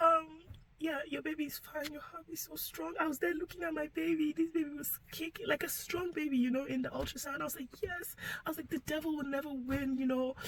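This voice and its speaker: Soft-spoken and high-pitched, a woman talks at a fairly quick pace with ordinary pitch variation. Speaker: vlogger sharing personal story. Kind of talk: personal testimony.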